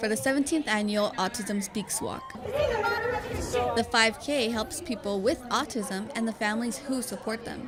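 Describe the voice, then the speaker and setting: Fairly slow speech with ordinary pitch variation over music in the background. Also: woman. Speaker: reporter. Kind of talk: TV news report.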